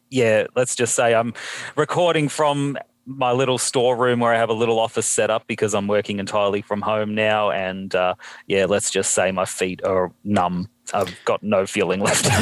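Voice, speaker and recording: With an Australian accent, a man speaks at a fairly low pitch and moderate pace, his loudness very even and his pitch varying in an ordinary way, in a very clean recording with a silent background. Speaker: podcast guest. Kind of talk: casual chat. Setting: home storeroom office.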